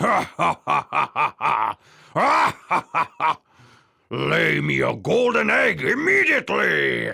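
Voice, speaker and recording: In a put-on character voice, a man speaks with a very deep, low pitch and a raspy sound. His pace is fairly slow. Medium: read story. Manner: booming, gruff.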